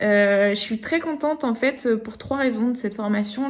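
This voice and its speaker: A woman with a fairly high pitch speaks at a fairly slow pace with ordinary pitch variation. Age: 30s. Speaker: online course student. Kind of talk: testimony. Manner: hesitant, many fillers.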